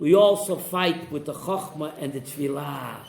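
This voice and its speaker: This man speaks at a moderate pace with lively intonation. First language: Yiddish. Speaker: rabbi teaching a Torah class. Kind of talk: Torah class with student interjections. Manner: animated.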